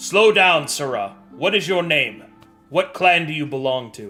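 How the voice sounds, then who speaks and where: Over faint background music, a man does a put-on character voice at a fairly high pitch. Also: moderate pace. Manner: gruff, commanding.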